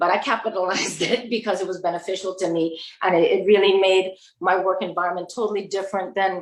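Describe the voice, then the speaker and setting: A woman with a Virgin Islands accent, medium pitch, ordinary pitch variation and a fairly quick pace. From US Virgin Islands. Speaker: panelist. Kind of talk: panel discussion.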